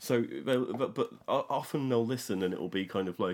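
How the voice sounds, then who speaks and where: He talks at a fairly slow pace, pitched at a medium level. His is a plain, everyday voice. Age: middle-aged. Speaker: music podcast host, superfan. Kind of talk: casual chat.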